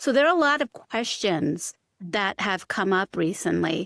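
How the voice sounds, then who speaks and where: A woman with an ordinary speaking voice talks at a fairly slow pace and medium pitch, captured on a very clean recording with a silent background and a dry, close sound with no echo. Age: middle-aged. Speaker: physician and podcast host. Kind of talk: podcast interview.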